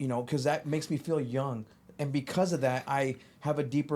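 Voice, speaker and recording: Using an ordinary speaking voice, a man with an American accent talks at a fairly quick pace with fairly even intonation. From Phoenix, Arizona (Glendale area). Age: 40s. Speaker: sneaker podcast co-host. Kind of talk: casual chat.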